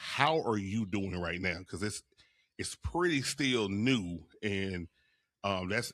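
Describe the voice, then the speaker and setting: With a Louisiana accent, this man talks in a fairly low pitch and a bright, sharp tone. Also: very clean recording, silent background. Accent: Louisiana Southern US. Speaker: podcast host. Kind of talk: casual interview chat.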